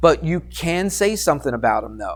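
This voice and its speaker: A normal speaking voice with ordinary pitch variation. The recording is very clean, with a silent background. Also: man. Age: 50s. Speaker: math teacher. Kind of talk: classroom lecture. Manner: conversational, questioning.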